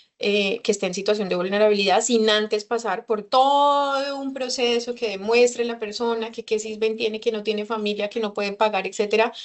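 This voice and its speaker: Over noticeable background noise, a woman talks at a fairly quick pace with hardly any pauses, a fairly high pitch and a fairly even intonation. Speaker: consular official. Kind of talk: lecture. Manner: fast.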